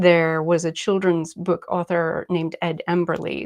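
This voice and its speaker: Recorded with a dry, close sound and no echo, a woman speaks at a fairly slow pace with a medium pitch. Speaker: artist and art teacher. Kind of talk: live online art workshop. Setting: live video stream from her desk. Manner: casual, relaxed.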